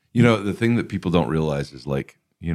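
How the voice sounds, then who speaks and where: A man with vocal fry speaks at a fairly quick pace with ordinary pitch variation. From Alabama. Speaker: film producer and podcast host. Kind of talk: casual chat. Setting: studio.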